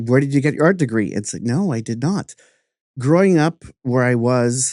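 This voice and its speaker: A man with a dark, mellow tone and medium pitch talks at a moderate pace with lively intonation, the sound dry and close with no echo over a quiet background. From Canada, New Brunswick (French-speaking). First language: French. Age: 50s. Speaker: artist and podcast host. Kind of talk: interview conversation.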